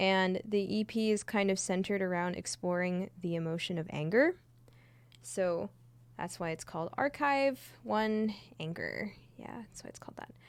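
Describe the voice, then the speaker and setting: Soft-spoken, this woman talks at a moderate pace. Her intonation is lively. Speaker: streamer and singer. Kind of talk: casual live stream chat. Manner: quiet, soft-spoken.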